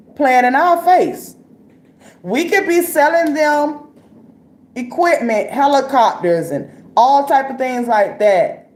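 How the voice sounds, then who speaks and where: A woman speaks at a high pitch with very wide swings in pitch, taking long, frequent pauses, and audible echo fills the room. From Florida. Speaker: live-stream commentator. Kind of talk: casual live-stream commentary. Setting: live stream. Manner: casual, conversational with frequent fillers.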